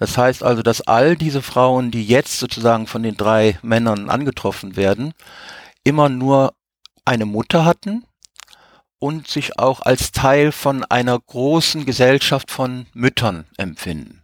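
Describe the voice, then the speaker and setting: A man speaks at a fairly slow pace in an unremarkable speaking voice, with medium pitch and ordinary pitch variation. The recording is very clean with a silent background, and the sound is dry and close with no echo. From Africa. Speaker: science fiction reader. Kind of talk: panel discussion.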